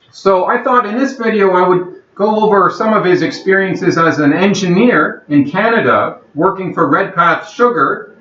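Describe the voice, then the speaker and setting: With hardly any pauses and very even loudness, a man talks at high pitch with ordinary pitch variation over noticeable background noise. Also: moderate pace. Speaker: channel host interviewing his grandfather. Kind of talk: video introduction. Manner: speaking loudly.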